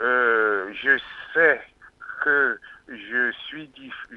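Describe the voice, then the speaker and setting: A man speaks with a fairly high pitch. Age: 60s. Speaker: caller. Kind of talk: call-in testimony.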